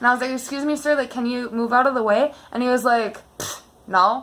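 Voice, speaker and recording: A woman talks at a fairly quick pace. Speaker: YouTuber, dog owner. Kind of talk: casual chat. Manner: loud when heated.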